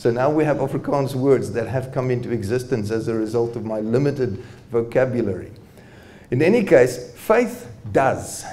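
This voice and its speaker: At a moderate pace, a man is talking. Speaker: presenter. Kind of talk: lecture. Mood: warm, good-humoured. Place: hall. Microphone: handheld.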